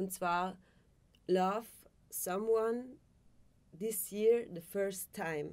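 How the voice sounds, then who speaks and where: A woman speaks at a medium pitch and a very slow pace. Her intonation stays fairly even, broken by long, frequent pauses. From South Tyrol. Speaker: actress and musician; actress. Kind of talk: casual interview. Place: studio.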